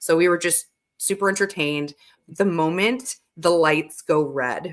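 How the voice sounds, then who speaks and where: In a plain, everyday voice, a woman with an American accent talks fairly slowly at a fairly low pitch, her loudness very even and her pitch varying in an ordinary way. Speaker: radio DJ and stadium announcer. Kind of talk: podcast interview answer.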